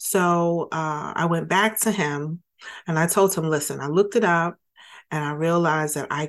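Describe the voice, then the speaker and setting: A woman with a normal speaking voice talks at a moderate pace in a fairly low pitch, with ordinary pitch variation over a quiet background. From Brooklyn, New York. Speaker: financial services entrepreneur. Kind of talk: interview.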